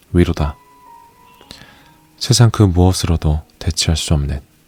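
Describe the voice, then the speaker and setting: Music plays in the background as a man speaks calmly at a fairly slow pace in a very deep, low pitch, the sound dry and close with no echo. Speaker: audiobook narrator. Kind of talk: audiobook reading of essays. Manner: soft-spoken, calm.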